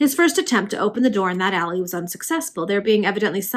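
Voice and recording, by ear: Intonation rises and falls in a lively way. The reading aloud is done in a natural voice.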